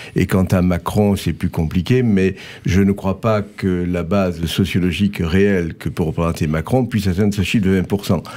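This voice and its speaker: Very deep and low, this man's voice has a dark, mellow tone. He keeps a moderate pace with fairly even intonation and very even loudness. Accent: slight Marseille. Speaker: scientist and writer. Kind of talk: political talk show.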